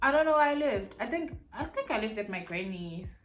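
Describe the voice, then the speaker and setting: Audible room echo follows a woman who speaks at a very fast pace. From South Africa, Mpumalanga and Pretoria. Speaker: beauty and lifestyle YouTuber. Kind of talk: casual Q&A vlog, mukbang.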